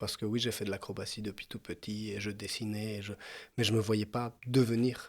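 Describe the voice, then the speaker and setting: The recording is very clean with a silent background as a man speaks at a medium pitch and moderate pace. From Mexico. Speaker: former actor turned farmer. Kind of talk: podcast interview. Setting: family farm. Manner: hesitant, many fillers.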